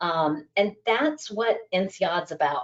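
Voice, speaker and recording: An ordinary speaking voice with an American accent and ordinary pitch variation. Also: woman. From United States. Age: 40s. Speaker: business school staff member. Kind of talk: interview. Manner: many fillers (um, you know).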